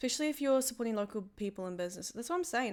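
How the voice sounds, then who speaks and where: Bright, sharp-toned woman's voice with lively intonation, on a very clean recording with a silent background. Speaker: streamer. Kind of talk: casual chat. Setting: live stream. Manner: fast.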